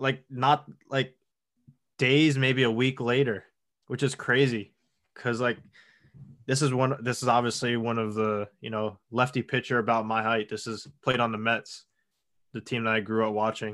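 In an American accent, a man speaks at a moderate pace with monotone, flat intonation and long, frequent pauses against a quiet background. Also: medium pitch for a man. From Long Island, New York. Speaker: professional baseball pitcher. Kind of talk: interview.

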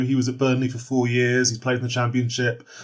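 Here is a man with an unremarkable speaking voice at a medium pitch. He talks at a fairly quick pace. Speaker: football journalist. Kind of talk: interview.

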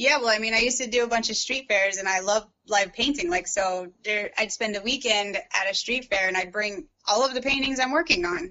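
A woman with an American accent talks in an ordinary speaking voice, fairly high in pitch, at a fairly quick pace. Her pitch variation is ordinary, and she hardly pauses at all. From US Midwest, St. Louis, Missouri. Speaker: painter and lawyer. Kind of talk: casual interview.

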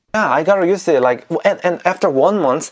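A man with a Korean accent speaks with lively intonation. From South Korea. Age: 20s. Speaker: YouTuber. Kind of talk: casual interview.

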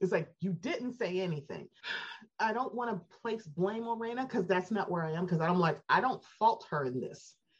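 A woman with an American accent talks at a fairly quick pace and a medium pitch. Her intonation is lively and her voice somewhat breathy. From Baltimore, US. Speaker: podcaster, superfan guest. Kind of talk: casual chat.

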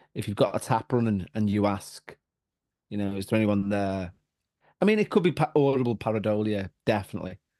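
In a Liverpool accent, a man talks fairly quickly with a fairly low pitch and ordinary pitch variation, his tone dark and mellow. The sound is dry and close, without echo. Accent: Liverpool (Scouse). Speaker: paranormal podcaster. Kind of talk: casual chat.

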